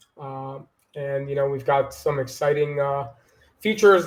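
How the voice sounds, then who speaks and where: A man talks with an American accent. His intonation stays fairly even. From New York, Long Island. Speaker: marketing executive. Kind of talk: podcast interview.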